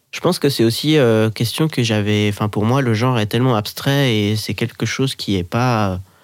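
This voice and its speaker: A man with a plain, everyday voice speaks fairly quickly at medium pitch with ordinary pitch variation. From Switzerland, Geneva. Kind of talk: casual interview.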